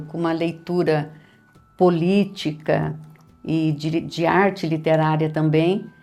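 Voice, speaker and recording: Over music in the background and with audible room echo, a woman speaks at a very deep, low pitch in a monotone, flat intonation. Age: 60s. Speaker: retired history professor and writer. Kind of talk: interview.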